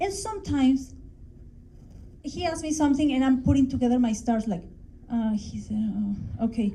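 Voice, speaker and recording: Through audible room echo, a woman with a high, dark and mellow voice speaks at a moderate pace with lively intonation and long, frequent pauses. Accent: Mexican. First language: Spanish. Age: 40s. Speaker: English teacher. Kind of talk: conference talk. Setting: stage with audience.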